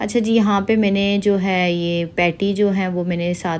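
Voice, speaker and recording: Her pitch sits in the medium range for a woman. The intonation stays monotone and flat. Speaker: vlogger. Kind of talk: casual vlog narration. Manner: sluggish, low energy.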